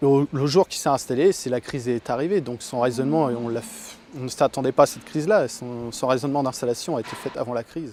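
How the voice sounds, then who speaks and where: A man speaks at a very fast clip in a medium pitch, with ordinary pitch variation and hardly any pauses. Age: 30s. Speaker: dairy farmer. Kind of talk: interview. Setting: on a farm. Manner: hesitant, many fillers.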